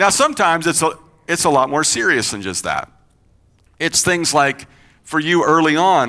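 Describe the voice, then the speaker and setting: A man's fairly high, bright and sharp voice with vocal fry, an animated tone, a moderate pace, and a slight Kentucky accent. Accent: slight Kentucky twang. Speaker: pastor. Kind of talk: sermon. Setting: church. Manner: conversational, animated.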